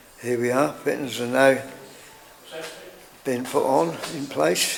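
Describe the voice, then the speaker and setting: A man's very slow, medium-pitched speech over noticeable background noise. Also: long, frequent pauses. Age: 80s+. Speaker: shipwright. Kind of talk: documentary narration. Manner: casual, conversational.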